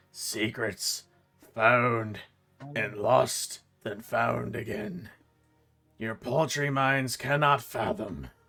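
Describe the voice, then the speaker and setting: In a put-on character voice, a raspy man at medium pitch talks at a very slow pace with long, frequent pauses while music plays in the background. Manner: ominous, cryptic.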